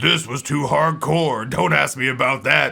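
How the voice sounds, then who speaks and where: A put-on character voice speaks at a moderate pace over light background noise. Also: man, medium pitch for a man. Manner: macho, gruff.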